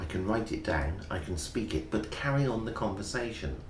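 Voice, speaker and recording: There is audible room echo as a man with an English accent talks in very wide pitch swings. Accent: BBC-type English. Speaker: English teacher. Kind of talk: interview. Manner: clear.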